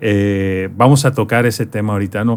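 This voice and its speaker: This is a plain, everyday voice at a fairly slow pace with fairly even intonation, in a very clean recording with a silent background. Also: man. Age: 30s. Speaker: podcast host. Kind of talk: interview.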